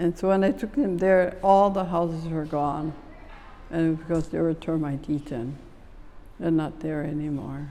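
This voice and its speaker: Over audible room echo, a woman with a fairly low pitch and a dark, mellow tone speaks with fairly even intonation. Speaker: oral history interviewee. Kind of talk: oral history interview. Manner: halting.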